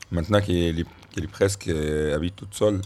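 A man with an Arabic accent speaks at a very deep, low pitch. His pace is moderate and his intonation fairly even. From Egypt. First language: Arabic (speaking French). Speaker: radio columnist. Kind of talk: casual chat. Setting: at his family home.

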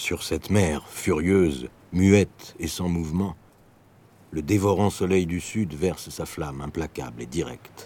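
At a fairly slow pace, a man speaks in a very deep, low voice with a dark, mellow tone and ordinary pitch variation. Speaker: narrator reading a literary text. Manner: vivid, expressive, slow and suspenseful pacing, rising intensity.

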